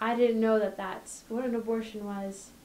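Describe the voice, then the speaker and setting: A woman with a fairly high voice speaks at a moderate pace in a flat monotone over light background noise. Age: 20s. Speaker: pro-life activist and university student. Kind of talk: personal testimony. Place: office.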